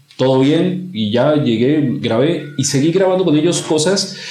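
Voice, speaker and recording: A man talks at a fairly slow pace while noticeable background noise plays underneath. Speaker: commercial voice-over announcer. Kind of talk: podcast interview answer.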